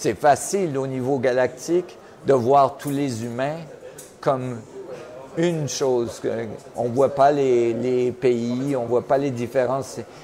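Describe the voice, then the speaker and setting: With noticeable background noise behind him, a man speaks very slowly at medium pitch, with fairly even intonation and long, frequent pauses. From Switzerland. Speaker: physicist, research director. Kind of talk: interview. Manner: halting, many repetitions.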